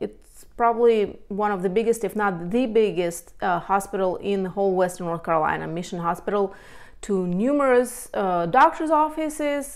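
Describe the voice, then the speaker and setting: With lively intonation, a woman talks at a moderate pace over a quiet background. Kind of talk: casual informative talk to camera. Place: home room. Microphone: lapel.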